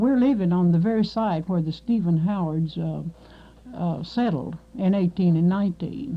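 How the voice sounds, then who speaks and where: With an American accent, a woman speaks at a moderate pace in a fairly low, somewhat breathy voice with ordinary pitch variation. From Kentucky, Marshall County. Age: 60s. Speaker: oral history interviewee. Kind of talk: oral history interview. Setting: radio studio. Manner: halting, many fillers.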